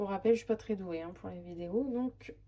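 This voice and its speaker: The woman's voice has a dark, mellow tone. Her pitch varies in an ordinary way. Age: 30s. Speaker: budget vlogger, single mother. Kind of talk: casual budget walkthrough. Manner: hesitant, many fillers.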